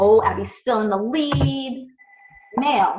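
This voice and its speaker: A woman speaks with an American accent. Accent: American accent when saying Sanskrit. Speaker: ayurveda teacher. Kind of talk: online class review quiz.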